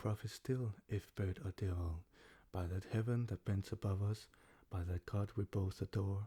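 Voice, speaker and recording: A soft-spoken, somewhat breathy man, fairly low in pitch, with a dark, mellow tone, very even loudness, fairly even intonation and a dry, close sound with no echo. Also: moderate pace, very clean recording, silent background. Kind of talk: ASMR poetry reading.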